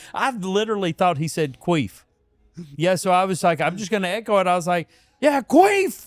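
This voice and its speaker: With a strong Southern accent and lively intonation, a man with a high pitch talks at a moderate pace with long, frequent pauses, the sound dry and close with no echo. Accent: thick Southern. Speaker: podcast host, fight cornerman. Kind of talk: casual chat.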